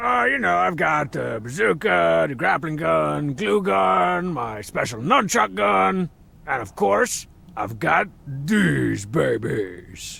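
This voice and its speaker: In a raspy, put-on character voice, a man talks very slowly at a medium pitch. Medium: video game. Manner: sarcastic, cocky.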